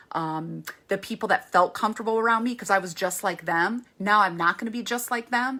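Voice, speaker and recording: The voice is loud, animated and bright, with a sharp tone. The recording is very clean, with a silent background. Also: woman. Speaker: women's ministry speaker. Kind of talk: faith talk to women.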